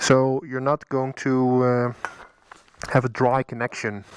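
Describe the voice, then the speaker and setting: A man with a Dutch accent speaks at a medium pitch and a fairly slow pace. The sound is dry and close, with no echo. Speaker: motorcycle vlogger. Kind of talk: tutorial. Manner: halting.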